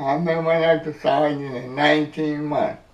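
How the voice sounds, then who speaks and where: Noticeable background noise runs under this recording. The speaker is a man with a fairly high pitch. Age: 80s+. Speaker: army veteran, hurricane survivor. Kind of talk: interview answer.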